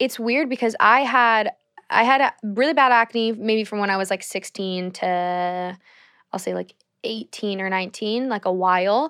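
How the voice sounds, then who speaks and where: At a moderate pace, the voice has a bright, sharp tone and ordinary pitch variation, with a dry, close sound, no echo, and a quiet background. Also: woman, fairly high pitch for a woman. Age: 20s. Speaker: YouTuber and actress. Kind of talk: casual chat.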